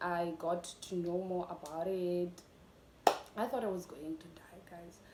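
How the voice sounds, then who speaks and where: Noticeable background noise beneath a woman's fairly slow speech. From South Africa. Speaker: YouTuber. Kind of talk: casual talk to camera.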